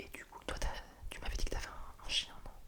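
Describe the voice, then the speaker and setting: A man whispering over noticeable background noise. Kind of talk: ASMR role-play, helping someone revise for a Spanish test. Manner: soft-spoken, whispering.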